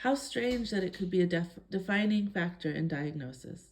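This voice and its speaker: A calm, somewhat breathy woman's voice, fairly low in pitch. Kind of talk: reading aloud a personal statement.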